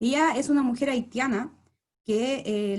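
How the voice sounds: At a slow pace, a woman speaks in a fairly high pitch with ordinary pitch variation and a slightly mellow tone.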